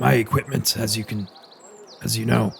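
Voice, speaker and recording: A man puts on a raspy character voice, pitched fairly low, and talks at a moderate pace. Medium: actual play. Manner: hesitant, halting, full of uh and um.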